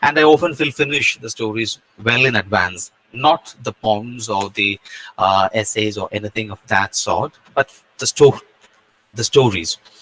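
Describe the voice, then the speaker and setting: A man with a non-native accent and a bright, sharp tone at a fairly low pitch and moderate pace, with ordinary pitch variation, big swings in loudness, and a dry, close sound with no echo. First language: not English. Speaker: guest speaker. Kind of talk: lecture. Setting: video call.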